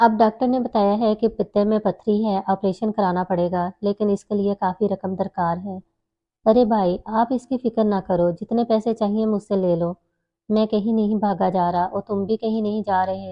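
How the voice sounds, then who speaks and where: Her medium-pitched voice stays monotone and flat throughout as the woman speaks. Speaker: voiceover artist. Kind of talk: story narration.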